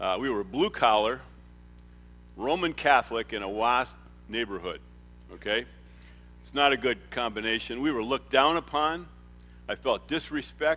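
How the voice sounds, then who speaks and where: A man speaks with vocal fry and ordinary pitch variation. His pace is moderate, broken by long, frequent pauses. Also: medium pitch for a man. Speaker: retired business executive, nonprofit volunteer. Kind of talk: testimony. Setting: stage with audience. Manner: halting.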